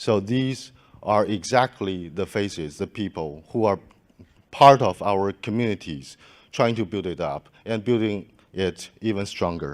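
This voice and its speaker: On a very clean recording with a silent background, a man with a non-native accent speaks at a fairly slow pace and a fairly low pitch. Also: ordinary pitch variation. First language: not English. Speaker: conference organizer giving closing remarks. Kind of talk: closing speech at conference. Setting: conference stage with audience. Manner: halting, many fillers and restarts.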